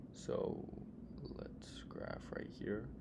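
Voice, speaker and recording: Vocal fry with audible room echo. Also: man. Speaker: student math tutor. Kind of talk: tutorial. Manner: casual, with fillers and self-corrections.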